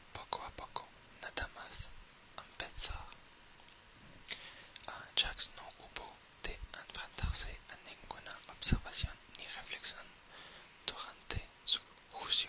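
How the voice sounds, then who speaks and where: Someone whispers at a very slow pace, leaving long, frequent pauses. Background noise is noticeable throughout. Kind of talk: whispered reading of game lore. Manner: whispered.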